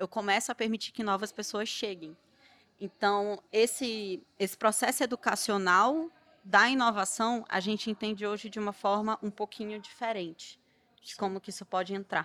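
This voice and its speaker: A woman's fairly high, bright, sharp voice with fairly even intonation and big swings in loudness, recorded dry and close with no echo. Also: moderate pace. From Belém, Pará, northern Brazil. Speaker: startup founder. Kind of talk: panel discussion.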